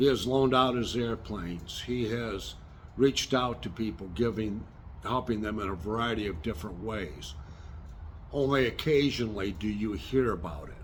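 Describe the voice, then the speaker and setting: Speaking with an American accent, a man at medium pitch sounds somewhat breathy, and audible room echo surrounds him. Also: ordinary pitch variation, moderate pace. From Michigan, US Midwest. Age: 60s. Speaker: retired air force veteran and small engine repair youtuber. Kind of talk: political commentary monologue.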